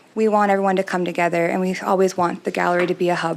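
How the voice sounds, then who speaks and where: A woman speaks in a soft-spoken way with a Canadian accent. Her intonation stays fairly even. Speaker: arts society executive director. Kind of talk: presentation to city council. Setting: city council meeting.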